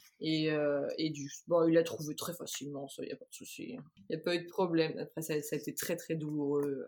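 Her pitch very deep and low, a woman speaks at a moderate pace in fairly even intonation, with hardly any pauses and big swings in loudness. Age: 30s. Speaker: illustrator and mother. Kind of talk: testimony. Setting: remote recording. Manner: halting, many fillers and repetitions.

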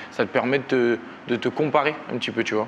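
The speech moves at a moderate pace with fairly even intonation. Noticeable background noise sits underneath. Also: man. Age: 30s. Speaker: professional boxer. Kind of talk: interview.

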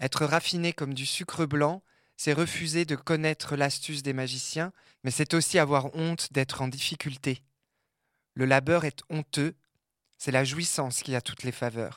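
A man with a fairly high voice speaks at a fairly slow pace, taking long and frequent pauses, his intonation fairly even, in a very clean recording with a silent background and a dry, close sound with no echo. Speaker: audio creator, queer contributor. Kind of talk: scripted audio essay narration.

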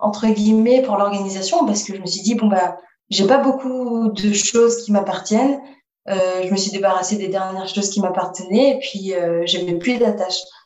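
With a normal speaking voice, a woman talks at medium pitch, her pitch varying in an ordinary way. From Paris region, France. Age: 20s. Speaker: roller skating traveller. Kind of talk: interview.

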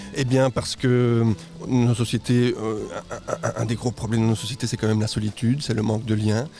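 Over noticeable background noise, a man talks at a fairly quick pace with long, frequent pauses, a medium pitch, very even loudness and monotone, flat intonation. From Guatemala. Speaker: market gardener. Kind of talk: interview. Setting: outdoor farm event, live radio.

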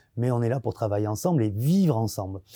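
A man talks at a medium pitch in a dark, mellow tone. The sound is dry and close with no echo, a very clean recording with a silent background. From southwest France, Arcachon basin. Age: 40s. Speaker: chef. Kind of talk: interview.

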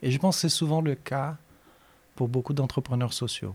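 A man with a Portuguese accent and ordinary pitch variation, on a very clean recording with a silent background. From Brazil, Minas Gerais. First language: Portuguese (speaking French). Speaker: professor and researcher. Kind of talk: interview.

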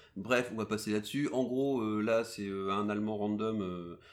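A man with a fairly low pitch and ordinary pitch variation has an unremarkable speaking voice, captured in a very clean recording with a silent background. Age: 30s. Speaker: podcast host. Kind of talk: casual chat.

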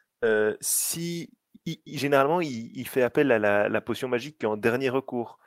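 A man at medium pitch has an unremarkable speaking voice, recorded very cleanly with a silent background and a dry, close sound with no echo. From Belgium. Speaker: app director for fan site. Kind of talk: casual chat.

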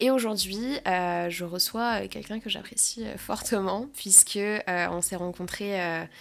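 At a fairly slow pace, a woman talks in an unremarkable speaking voice with ordinary pitch variation. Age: 20s. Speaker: podcast host. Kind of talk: casual chat.

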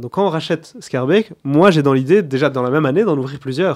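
A man's ordinary speaking voice, fairly high in pitch, with lively intonation and a fairly quick pace. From Belgium, Borinage (Mons), Wallonia. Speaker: restaurant group founder and CEO. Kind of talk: interview.

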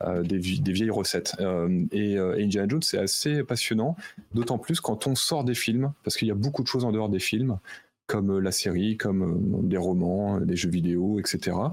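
This is an unremarkable speaking voice at a moderate pace. Loudness is very even, and pitch varies in an ordinary way. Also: man, fairly low pitch for a man. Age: 40s. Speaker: concert producer and author. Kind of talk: casual chat.

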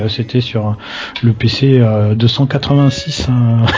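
Noticeable background noise sits under a man whose intonation stays fairly even. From southwest France. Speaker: video game pundit. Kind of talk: casual chat. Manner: halting, repeats words.

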